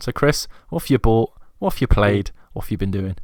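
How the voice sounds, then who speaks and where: A voice with a British accent comes through in a very clean recording with a silent background. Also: man. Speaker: podcast host. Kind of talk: casual chat.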